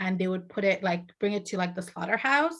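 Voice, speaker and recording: With a Bengali accent, a woman speaks at a medium pitch with ordinary pitch variation. The background is quiet. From Saudi Arabia, Bangladeshi family (born in Bangladesh). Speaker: author and video host. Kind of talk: casual chat.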